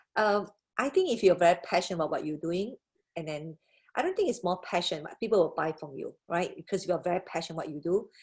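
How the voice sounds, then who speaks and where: The speech moves at a very fast pace with big swings in loudness. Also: woman, medium pitch for a woman, ordinary pitch variation. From Malaysia. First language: not English. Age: 50s. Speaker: business leader. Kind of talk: webinar Q&A. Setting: video call.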